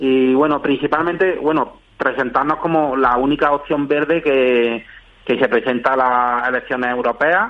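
This man's fairly high voice moves at a fairly slow pace with fairly even intonation. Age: 40s. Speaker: party spokesperson. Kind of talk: radio interview. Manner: halting.

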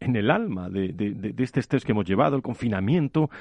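A man's fairly low-pitched voice, a normal speaking voice. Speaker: radio health show host. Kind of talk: radio talk show. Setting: radio studio in Madrid.

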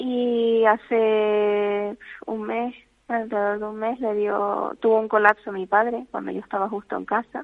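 Delivered at a fairly slow pace, the speech comes in a monotone, flat intonation. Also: woman, fairly high pitch for a woman. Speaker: family caregiver. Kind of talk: phone interview. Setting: phone call. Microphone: bad phone connection.

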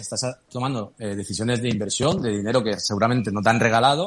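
This is a man with a medium pitch and ordinary pitch variation. He has an ordinary speaking voice. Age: 40s. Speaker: crypto startup founder. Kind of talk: interview.

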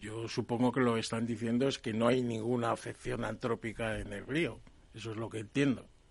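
Over a quiet background, a man speaks fairly quickly at a medium pitch in a monotone, flat intonation. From Spain, Palencia (Castile). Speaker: water engineering expert. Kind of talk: radio panel discussion.

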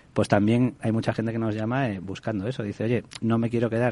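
A man speaks at a fairly quick clip in a fairly low, dark, mellow voice with fairly even intonation. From Galicia, Spain. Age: 40s. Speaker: rent-to-own housing executive. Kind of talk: radio interview. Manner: hesitant, many repetitions.

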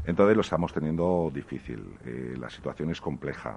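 A man's voice with vocal fry, ordinary pitch variation and a moderate pace. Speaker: restaurant owner and association president. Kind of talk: interview.

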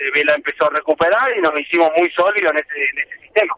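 High-pitched male speech at a fairly quick pace, its pitch varying in an ordinary way. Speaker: professional padel player. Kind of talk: interview. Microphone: poor mobile coverage.

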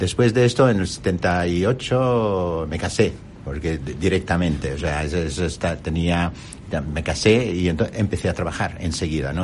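A man speaks with an Arabic accent at a very deep, low pitch. His intonation is lively and his pace moderate. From Jordan. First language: Arabic (speaking Spanish). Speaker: company executive. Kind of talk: interview. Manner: halting.

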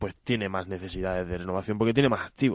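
A man races along at a very fast pace, his intonation fairly even. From Andalusia, Spain. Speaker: civil engineer at a water industry association. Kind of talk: radio interview.

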